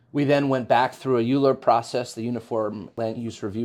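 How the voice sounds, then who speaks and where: A man with an American accent talks at a fairly quick pace in an unremarkable speaking voice. The background is quiet. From New York City, Upper West Side Manhattan. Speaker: real estate executive. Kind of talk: interview.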